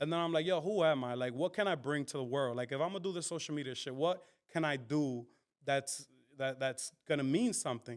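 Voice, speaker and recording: Speaking at a fairly quick pace with a New York accent, a man's fairly high voice shows ordinary pitch variation. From Dominican. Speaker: comedian, content creator. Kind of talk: interview answer.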